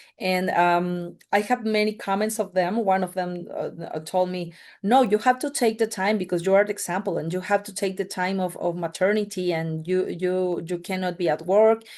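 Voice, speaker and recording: Over a quiet background, someone with a Spanish accent speaks at a moderate pace with fairly even intonation. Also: woman, medium pitch for a woman. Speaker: mining industry representative. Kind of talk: panel podcast discussion. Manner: halting, many fillers.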